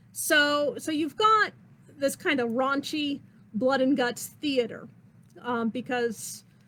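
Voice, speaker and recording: Over noticeable background noise, a woman uses a raised, projected voice at a high pitch, with lively intonation and a very slow pace. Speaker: theatre history lecturer, costume designer. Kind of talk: online lecture. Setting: livestream class. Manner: casual, frequent fillers.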